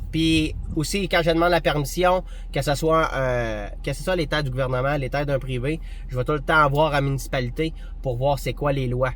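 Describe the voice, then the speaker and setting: Amid noticeable background noise and audible room echo, a man with a Quebec accent speaks at a fairly high pitch. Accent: Québécois French. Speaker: hunting vlogger. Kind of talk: casual tutorial monologue. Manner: fast; animated.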